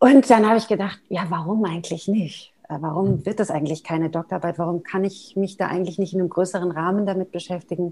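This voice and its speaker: Speaking at a fairly quick pace, a woman uses an unremarkable speaking voice with medium pitch and fairly even intonation. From Germany, Neckargemünd near Heidelberg. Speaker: mezzo-soprano singer and voice professor. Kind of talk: interview. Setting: video call.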